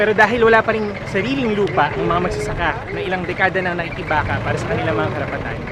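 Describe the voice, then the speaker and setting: Noticeable noise sits in the background. The talking goes very fast. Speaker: field reporter. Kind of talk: on-location news report. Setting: outdoors at a protest site.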